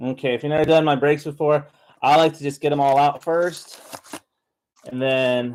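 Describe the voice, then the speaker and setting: Pausing long and often, a man talks in a fairly high pitch with monotone, flat intonation. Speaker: card break streamer. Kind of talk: live card break commentary. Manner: fast; hesitant, filler-heavy.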